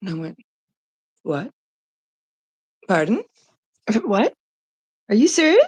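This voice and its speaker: Her pitch fairly high and swinging very widely, a woman speaks in a somewhat breathy voice at a fairly slow pace with long, frequent pauses, in a dry, close sound with no echo. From Canada. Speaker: live streamer. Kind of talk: casual live stream chat. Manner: casual, halting with fillers.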